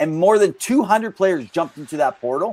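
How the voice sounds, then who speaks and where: The speaker is a man. His voice sounds dry and close, without any echo. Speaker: hockey podcast co-host. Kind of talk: casual podcast chat. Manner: quick.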